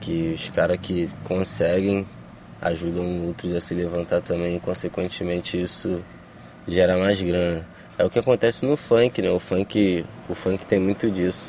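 This man talks at a fairly slow pace, using a very deep, low pitch and fairly even intonation. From Brazil, Baixada Fluminense (Duque de Caxias, Rio de Janeiro). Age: 20s. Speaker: rapper. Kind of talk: interview. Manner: casual slangy.

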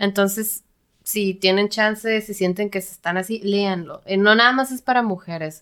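A woman with a plain, everyday voice speaks at a fairly slow pace and medium pitch, her intonation fairly even but with big swings in loudness, on a very clean recording with a silent background. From Mexico, Tijuana. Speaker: software developer. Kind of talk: casual chat.

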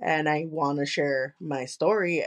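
Her voice pitched fairly low, this woman talks with a Spanish accent. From Chicago, US. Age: 20s. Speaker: podcast host and content creator. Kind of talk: casual interview chat. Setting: remote recording.

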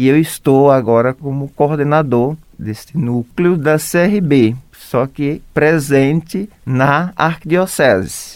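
A man talks at a very slow pace but with hardly any pauses. His fairly high voice shows ordinary pitch variation. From Brazil, Alagoas. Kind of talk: interview.

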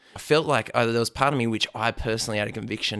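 On a very clean recording with a silent background, a man with an Australian accent talks at a medium pitch. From Australia, Blue Mountains west of Sydney. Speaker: church planter and spiritual mentor. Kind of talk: interview.

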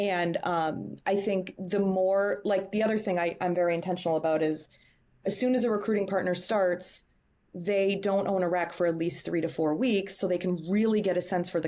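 A woman with an American accent speaks at a fairly quick pace in a medium pitch, her intonation fairly even and her voice an unremarkable speaking voice. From Boston. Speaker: talent acquisition leader. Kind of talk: interview. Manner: many filler words.

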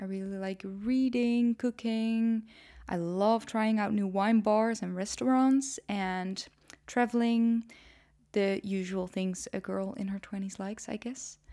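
In a Dutch accent, a woman speaks at a fairly slow pace with a fairly high pitch, a dark, mellow tone, and fairly even intonation. The recording is very clean, with a silent background. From Netherlands. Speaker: podcast host and YouTuber. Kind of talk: solo podcast intro monologue. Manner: casual, conversational.

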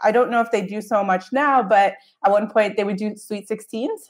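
A woman with an American accent and an unremarkable speaking voice talks at a moderate pace, fairly high in pitch with fairly even intonation. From US. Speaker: travel blogger and podcast host. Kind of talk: casual interview chat.

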